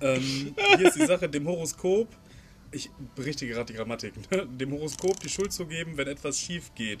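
A fairly quick-paced man with a fairly high pitch and long, frequent pauses, over music in the background. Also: ordinary pitch variation. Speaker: podcast co-host. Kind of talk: casual chat. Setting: outdoors.

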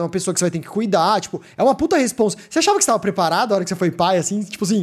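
Speaking at a very fast pace with lively intonation, a man is heard on a very clean recording against a silent background. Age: 20s. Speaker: podcast host and streamer. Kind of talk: casual live-streamed podcast chat. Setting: home studio. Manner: animated.

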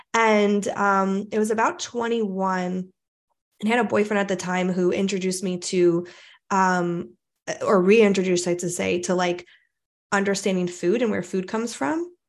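Against a quiet background, a woman with an unremarkable speaking voice talks at a moderate pace, with medium pitch and fairly even intonation. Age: 30s. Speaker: spiritual medium and coach. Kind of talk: casual chat.

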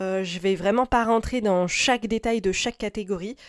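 An ordinary speaking voice comes through at a moderate pace with fairly even intonation, in a dry, close sound with no echo on a very clean recording with a silent background. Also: woman. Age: 30s. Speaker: podcaster. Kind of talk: solo advice podcast.

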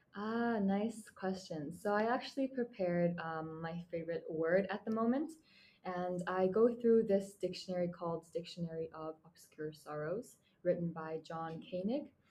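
A woman with a Mongolian accent talks at a moderate pace in a medium pitch with ordinary pitch variation. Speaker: university student. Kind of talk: interview.

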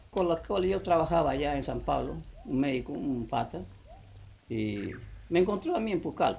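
With a very wide range of pitch movement, this voice keeps to a moderate speed. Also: man. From Peruvian Amazon, Loreto. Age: 70s. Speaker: former leprosy patient. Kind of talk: oral history interview. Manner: halting.

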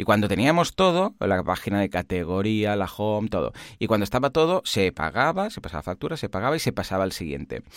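A man talks at a very fast pace with hardly any pauses, his fairly low voice swinging very widely in pitch, the sound dry and close with no echo. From Catalonia, Spain. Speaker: online course platform founder, podcast co-host. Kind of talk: casual tech chat. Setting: remote line.

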